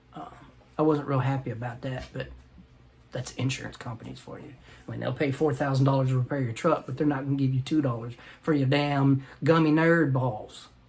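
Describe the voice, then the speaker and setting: Speaking at a fairly quick pace, a man holds a medium pitch in a monotone, flat intonation. His loudness swings widely. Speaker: vlogger; military veteran. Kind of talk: casual vlog monologue. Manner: stammering, repeats words.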